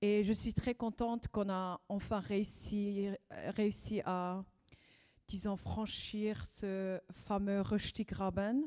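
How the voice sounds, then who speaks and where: A woman's medium-pitched voice, dark and mellow in tone, at a very slow pace with fairly even intonation, in a very clean recording over a silent background. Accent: Swiss German. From Zurich, Swiss German region. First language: Swiss German (speaking French). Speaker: event moderator. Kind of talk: event opening speech. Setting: live event with audience. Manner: hesitant, many fillers.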